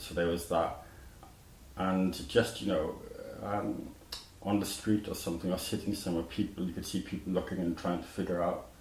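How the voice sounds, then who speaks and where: Long, frequent pauses break up a man's very deep, low voice in a Welsh accent, delivered at a moderate pace with fairly even intonation and audible room echo. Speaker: musician, surgery survivor. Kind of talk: interview. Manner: halting, with false starts.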